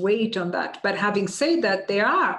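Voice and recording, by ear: A woman talks at a medium pitch, with room echo clearly audible.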